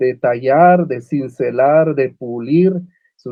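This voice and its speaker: Very slow delivery comes with ordinary pitch variation. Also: man. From Guatemala (Uspantán, Quiché). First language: Uspantek (Mayan) (speaking Spanish). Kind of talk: panel discussion. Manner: halting, many fillers and repetitions.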